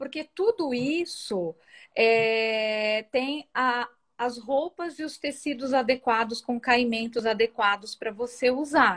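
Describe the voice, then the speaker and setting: Speaking at a very slow pace, a woman with a high pitch and ordinary pitch variation is heard in a dry, close sound with no echo against a quiet background. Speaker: thrift store owner and image consultant. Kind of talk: interview.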